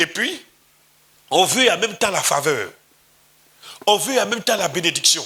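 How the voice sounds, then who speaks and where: A raised, projected male voice, high in pitch, in an Ivorian accent. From Côte d'Ivoire. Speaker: pastor. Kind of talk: sermon.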